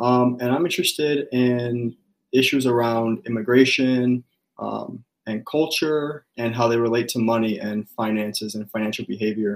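An ordinary speaking voice from a man with an American accent, medium pitch and moderate pace. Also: fairly even intonation. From US Midwest, Chicago. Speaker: graduate student researcher. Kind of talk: interview.

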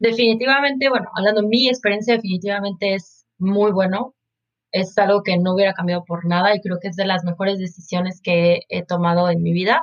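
A woman talks at a fairly quick pace. She has a Mexican accent. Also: medium pitch for a woman, ordinary pitch variation. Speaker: marketing professional, university student. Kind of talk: casual interview chat.

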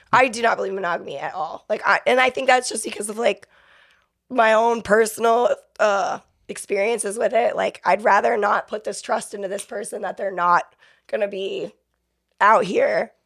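A woman with a plain, everyday voice speaks at fairly high pitch and a moderate pace. The recording is very clean, with a silent background. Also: ordinary pitch variation. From Florida (Fort Myers and Inglewood area). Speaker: exotic dancer. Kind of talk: casual interview chat. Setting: studio.

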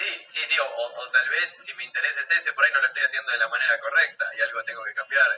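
A man talking at a very fast pace with big swings in loudness, music playing in the background. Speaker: radio host. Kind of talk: radio interview.

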